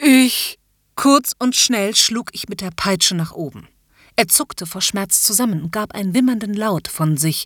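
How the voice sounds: Lively intonation marks this natural reading voice. All around it is quiet.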